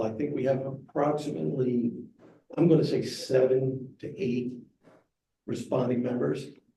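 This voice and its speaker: A man with a medium pitch speaks with audible room echo. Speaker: fire chief. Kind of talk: presentation.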